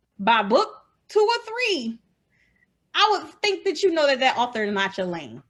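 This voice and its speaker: Loud and animated, a woman speaks in a high voice at a moderate pace, her pitch swinging very widely between long, frequent pauses. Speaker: indie romance author. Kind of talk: casual interview chat.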